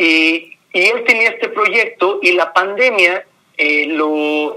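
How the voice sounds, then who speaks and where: This is a man talking. He varies his pitch in an ordinary way. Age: 40s. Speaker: graphic designer and mezcal entrepreneur. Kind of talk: interview conversation. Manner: repeats words, hesitant fillers.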